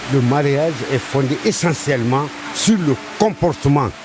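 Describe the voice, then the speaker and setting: Noticeable background noise surrounds this man's voice. He speaks fairly slowly at a fairly high pitch. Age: 70s. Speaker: elder interviewee. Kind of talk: interview.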